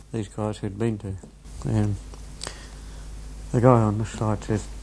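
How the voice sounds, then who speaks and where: Noticeable background noise sits behind the recording. A man talks over it at a moderate pace. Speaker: former coastal battery gunner, war veteran. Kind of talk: oral history interview answer, anecdote. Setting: interview recording, home or school.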